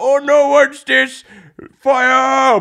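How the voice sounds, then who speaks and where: A man's put-on character voice, pitched extremely high. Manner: alarmed, exclaiming.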